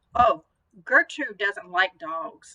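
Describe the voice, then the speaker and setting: Mumbling in a put-on character voice, a woman speaks at a medium pitch, the sound dry and close with no echo. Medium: read story. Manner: hesitant, mumbling.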